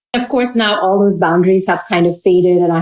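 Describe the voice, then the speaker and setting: At a fairly quick pace, a woman talks at a medium pitch with ordinary pitch variation, over noticeable background noise. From India, Pune. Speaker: food entrepreneur and scientist. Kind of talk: interview conversation. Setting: podcast interview. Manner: bubbly.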